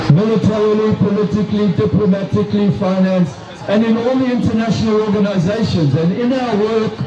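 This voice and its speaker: A man with a South African accent speaks at a fairly quick pace and high pitch, with ordinary pitch variation and very even loudness. Room echo is audible, with music in the background. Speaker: retired doctor, activist speaker. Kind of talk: rally speech. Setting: outdoors at a protest rally.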